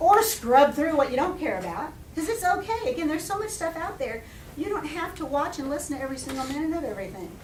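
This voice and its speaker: Loud and at a very fast pace, a woman speaks at a high pitch with very wide pitch swings, amid audible room echo and noticeable background noise. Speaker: education professor and center director. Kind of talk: guest lecture to a class. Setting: classroom with audience.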